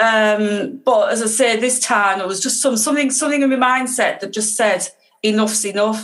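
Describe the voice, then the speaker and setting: Here a woman with a Teesside accent talks at a fairly high pitch with ordinary pitch variation. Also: moderate pace. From northeast England, Teesside. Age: 50s. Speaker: guest sharing recovery story. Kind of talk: casual interview.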